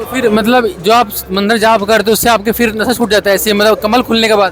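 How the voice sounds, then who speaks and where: Music plays in the background as a man with a high pitch speaks in a monotone, flat intonation. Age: young. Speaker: news reporter. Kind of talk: interview.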